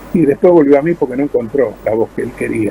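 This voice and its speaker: Someone talks at a very fast pace in an Argentine accent. Noticeable background noise runs underneath. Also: man. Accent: Argentine Spanish (Rioplatense). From Argentina. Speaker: voice actor. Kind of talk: interview answer.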